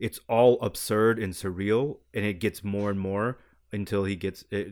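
Against a silent background in a very clean recording, a man with an ordinary speaking voice talks at a fairly slow pace. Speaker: film editor. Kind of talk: casual chat.

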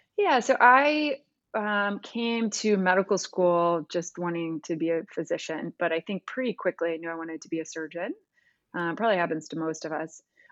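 Here a woman with an American accent and a normal speaking voice talks at a moderate pace, with a fairly low pitch and lively intonation. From US Midwest, Missouri. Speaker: pediatric hand surgeon. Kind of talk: interview.

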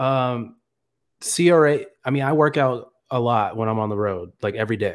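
Here a man has an unremarkable speaking voice at medium pitch. He goes at a moderate pace with ordinary pitch variation. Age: 20s. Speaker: clinical research associate. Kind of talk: live-streamed casual Q&A chat.

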